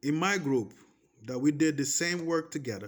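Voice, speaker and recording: Ordinary pitch variation at a fairly slow pace. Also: man. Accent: Portuguese. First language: Portuguese. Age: 30s. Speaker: vlogger. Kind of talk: personal testimony. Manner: animated; repetitive.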